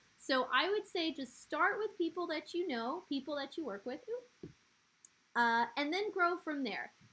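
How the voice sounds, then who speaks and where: A woman projects a raised, high voice with a bright, sharp tone. She speaks at a fairly slow pace, her pitch swinging very widely. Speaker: social media trainer. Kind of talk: online training session. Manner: casual, conversational.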